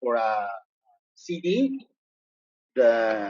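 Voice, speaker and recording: A man speaks with very wide swings in pitch. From Mexico. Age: 50s. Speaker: novelist. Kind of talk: Q&A in a class visit. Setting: university classroom. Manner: halting, many fillers and repetitions.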